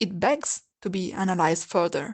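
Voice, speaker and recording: At a medium pitch and fairly slow pace, a woman speaks with ordinary pitch variation over a quiet background. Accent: non-native. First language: not English. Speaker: video essayist. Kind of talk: video essay narration.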